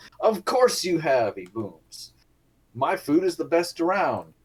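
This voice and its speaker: A man uses a put-on character voice, pitched high and delivered loudly. He speaks at a fairly slow pace. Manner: booming, loud.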